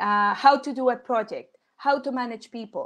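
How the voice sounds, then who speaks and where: A woman with a Colombian accent, fairly even intonation and a moderate pace over a quiet background. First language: Spanish. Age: 30s. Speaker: engineer and volunteer speaker. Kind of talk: Q&A after a talk. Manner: halting.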